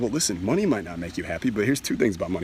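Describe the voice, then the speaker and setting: Against noticeable background noise, a man speaks in an animated tone. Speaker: self-help speaker. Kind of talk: motivational talk. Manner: fast.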